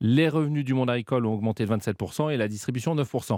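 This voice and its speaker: Captured in a very clean recording with a silent background and a dry, close sound with no echo, a man with a plain, everyday voice and a medium pitch talks at a fairly quick pace with ordinary pitch variation. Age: 40s. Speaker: retail group executive. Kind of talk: radio interview.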